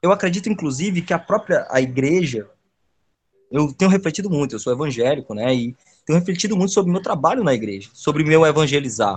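At a very fast pace, a man speaks at a fairly high pitch with very wide pitch swings. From Ceará, Brazil (Caucaia, near Fortaleza). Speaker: geography teacher and urban researcher. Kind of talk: casual interview. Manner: halting, frequent repetitions.

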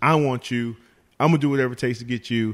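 A man with an American accent and a medium pitch speaks at a fairly quick pace on a very clean recording with a silent background. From West Virginia. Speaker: former football player. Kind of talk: casual interview. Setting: in person. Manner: halting, many restarts and fillers.

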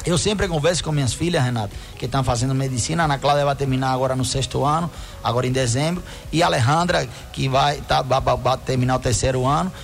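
With a Spanish accent, a man speaks at a very fast pace in a medium pitch, keeping his loudness very even and his pitch variation ordinary, over noticeable background noise. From Cuba. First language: Spanish (speaking Portuguese). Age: 50s. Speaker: doctor and dermatologist. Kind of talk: radio health advice segment. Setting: radio studio.

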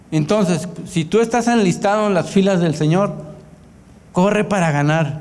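Through audible room echo and noticeable background noise, a man with a high pitch talks at a fairly slow pace with ordinary pitch variation and very even loudness. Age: 40s. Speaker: pastor. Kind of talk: sermon. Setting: church.

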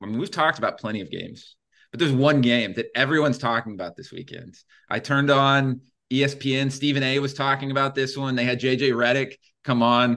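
Against a quiet background, a man talks at a very fast pace. His voice is medium in pitch with a bright, sharp tone. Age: 30s. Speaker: sports betting podcast host. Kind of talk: casual chat. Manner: animated.

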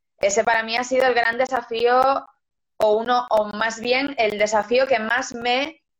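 A woman with an unremarkable speaking voice, fairly high pitch, fairly even intonation and a fairly slow pace. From Galicia, Spain (Lugo). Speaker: singer and actress. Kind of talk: interview.

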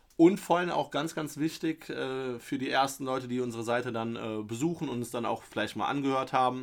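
A man talks at a fairly quick pace with medium pitch and ordinary pitch variation, in an ordinary speaking voice. The recording is very clean, with a silent background. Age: 30s. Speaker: football podcast host. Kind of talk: casual chat.

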